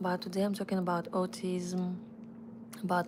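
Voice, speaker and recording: A woman talks with a Russian accent. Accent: non-native English, Russian. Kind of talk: live stream chat. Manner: halting, with restarts.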